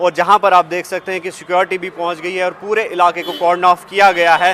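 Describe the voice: A man with a fairly bright, high-pitched voice speaks at a fairly quick pace with little pitch movement.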